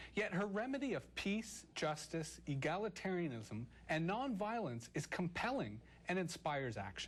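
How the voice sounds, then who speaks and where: A man at a moderate pace, with very wide pitch swings and vocal fry, in a very clean recording with a silent background. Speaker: talk show host. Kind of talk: scripted show introduction. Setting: studio.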